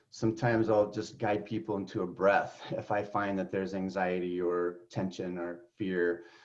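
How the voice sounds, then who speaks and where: Using a normal speaking voice, a man talks at a moderate pace with a fairly low pitch and fairly even intonation. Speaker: guide or facilitator. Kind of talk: group interview.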